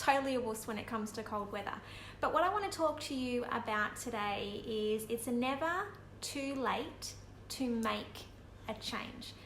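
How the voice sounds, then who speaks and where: A quiet woman with an Australian accent speaks at a high pitch with ordinary pitch variation. There is noticeable background noise and audible room echo. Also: moderate pace. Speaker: vlogger. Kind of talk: casual live video chat. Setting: at home.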